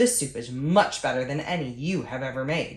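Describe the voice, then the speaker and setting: In a put-on character voice, the speaker moves at a moderate pace with ordinary pitch variation. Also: woman. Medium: read story. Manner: commanding.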